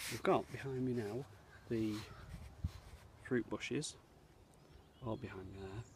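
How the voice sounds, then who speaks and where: Soft-spoken and somewhat breathy, the speaker talks at a fairly slow pace with an English accent, ordinary pitch variation, and long, frequent pauses. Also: man, medium pitch for a man. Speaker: scout leader. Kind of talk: video tour. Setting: outdoors.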